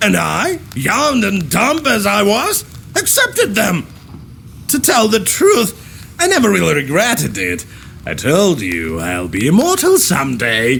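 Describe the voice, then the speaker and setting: Clear background noise behind a fairly slow, put-on character voice. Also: man. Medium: video game. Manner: mocking, boastful.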